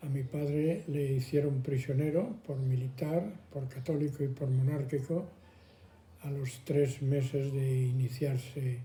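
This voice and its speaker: Speaking at a very slow pace, a man has a fairly high pitch, a dark, mellow tone, a somewhat breathy quality and fairly even intonation. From Madrid, Spain. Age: 80s+. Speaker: elderly interviewee. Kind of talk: testimony.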